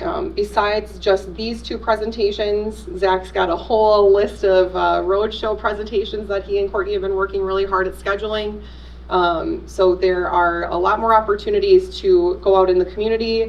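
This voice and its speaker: Noticeable background noise sits behind the recording. A woman talks with hardly any pauses. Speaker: school district communications presenter. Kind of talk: presentation to school board. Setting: public meeting. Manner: fast.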